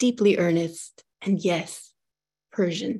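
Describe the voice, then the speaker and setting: Against a quiet background, a woman talks very slowly at a medium pitch, her tone dark and mellow and her intonation fairly even. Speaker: moderator, writer and poet. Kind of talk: interview moderation. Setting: video call webinar.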